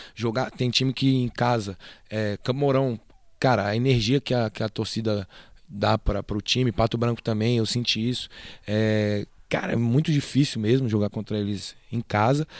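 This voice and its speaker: A man talks in an unremarkable speaking voice with fairly even intonation. The sound is dry and close with no echo, on a very clean recording with a silent background. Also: medium pitch for a man, moderate pace. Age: 20s. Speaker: basketball assistant coach. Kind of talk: casual interview.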